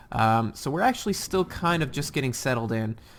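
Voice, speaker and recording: A man talks at a fairly quick pace with a medium pitch and very wide pitch swings. Noticeable background noise runs underneath. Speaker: gaming video creator. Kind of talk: gameplay commentary. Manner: fast; halting with many fillers.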